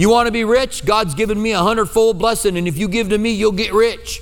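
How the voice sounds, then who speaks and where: Noticeable background noise runs under a man talking with an American accent. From US Midwest. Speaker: pastor. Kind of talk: sermon. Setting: church.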